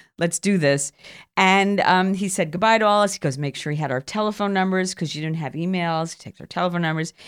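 A woman with a New York accent talks at a very fast pace in a fairly low pitch with ordinary pitch variation and big swings in loudness. The recording is very clean, with a silent background. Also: dry, close sound with no echo. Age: 60s. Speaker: storyteller and comedian. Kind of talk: casual interview chat with storytelling.

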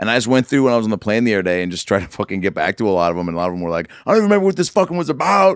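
Speaking at a very fast pace in an American accent, a man with a fairly low pitch makes very wide pitch swings. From US Pacific Northwest (Seattle). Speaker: comedian and actor. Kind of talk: casual chat.

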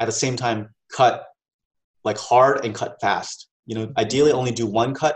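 With an American accent, a man speaks fairly quickly at a medium pitch, his voice somewhat breathy and his intonation fairly even. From Maryland, US. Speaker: tech entrepreneur and co-founder of a film review site. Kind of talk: interview.

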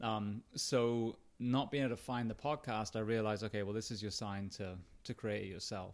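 A man with an English accent at a moderate pace, on a very clean recording with a silent background. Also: fairly low pitch for a man, fairly even intonation. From England. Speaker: retired firefighter, author and podcast host. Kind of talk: casual interview chat. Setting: in-person recording.

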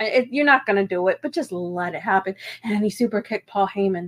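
In a dry, close sound with no echo, a woman with an American accent uses a normal speaking voice at a medium pitch, with ordinary pitch variation and a fairly quick pace. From Virginia (Kilmarnock area). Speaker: wrestling podcast co-host. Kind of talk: casual chat.

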